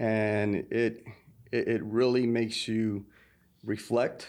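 A plain, everyday voice from a man with an American accent, medium pitch and ordinary pitch variation, over a quiet background. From New York. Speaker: podcast co-host. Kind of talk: casual interview chat. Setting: recording studio.

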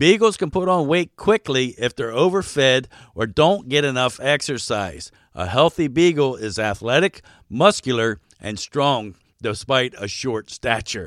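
With very wide pitch swings, a man with an American accent talks at a medium pitch in a very clean recording with a silent background and a dry, close sound with no echo. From Baltimore, Maryland, US. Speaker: dog ranch manager and podcast host. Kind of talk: scripted informational narration.

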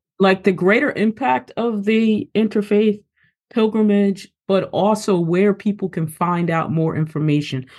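A woman speaks in a normal speaking voice at a fairly slow pace, her medium pitch showing ordinary pitch variation against a quiet background. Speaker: podcast host and scholar. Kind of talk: interview.

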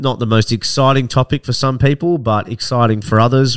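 A man with an Australian accent at a moderate pace and ordinary pitch variation, on a very clean recording with a silent background. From Australia, Victoria (Barwon Heads / Ocean Grove, near Melbourne). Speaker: podcast host, property investment professional. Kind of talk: solo introductory monologue.

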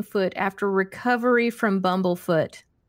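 An American accent carries ordinary pitch variation at a fairly slow pace. The recording is very clean, with a silent background. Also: woman. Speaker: backyard chicken educator and podcast host. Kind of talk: casual live stream chat. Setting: live stream and podcast. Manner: animated, excitable.

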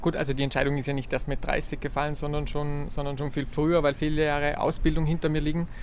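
In a room with audible echo, a man with a fairly high pitch talks very fast with hardly any pauses in a monotone, flat intonation. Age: 30s. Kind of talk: interview. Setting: seated in a room near a church.

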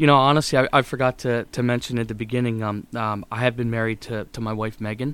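With an American accent, a man talks very fast at a medium pitch. His intonation is fairly even, with hardly any pauses. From central Pennsylvania, US. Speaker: paving business owner. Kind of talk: interview. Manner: halting, many fillers.

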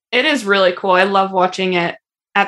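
In an ordinary speaking voice, a woman speaks at a moderate pace with medium pitch. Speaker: podcast host and ski coach. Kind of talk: casual interview chat.

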